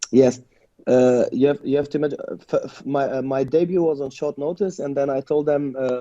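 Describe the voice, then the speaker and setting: Fairly high male pitch with a German accent, a dark, mellow tone, fairly even intonation and a fairly quick pace. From Germany, Lebanese family. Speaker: mixed martial arts fighter. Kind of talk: interview. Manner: halting, many repetitions.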